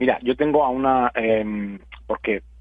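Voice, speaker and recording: In a normal speaking voice, this man talks at a medium pitch that varies in an ordinary way. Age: 40s. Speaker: keto diet educator. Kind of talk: interview.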